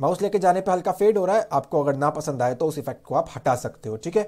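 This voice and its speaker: A man with a dark, mellow tone uses lively intonation on a very clean recording with a silent background. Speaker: web development tutor. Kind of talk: tutorial.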